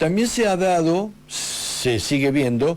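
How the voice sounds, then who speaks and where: Speaking at a very slow pace, a man keeps his intonation lively. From Argentina, Patagonia (Río Negro) from age eight, born in Buenos Aires. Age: 50s. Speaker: radio host. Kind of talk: radio interview. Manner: halting, with fillers and restarts.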